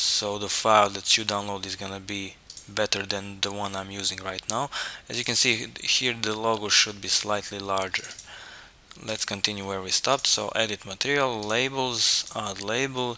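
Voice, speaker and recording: A man with a non-native accent, fairly low in pitch, at a moderate pace and fairly even intonation, over noticeable background noise. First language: not English. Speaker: 3D rendering tutorial maker. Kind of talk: software tutorial. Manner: halting, with fillers and repetitions.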